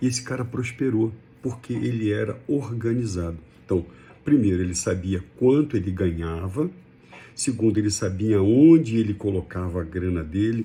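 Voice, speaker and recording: Speech proceeds at a moderate pace with ordinary pitch variation. Its tone is dark and mellow, and somewhat breathy. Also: man. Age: 60s. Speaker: personal finance commentator. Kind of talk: casual talk to camera. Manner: conversational, with hesitations.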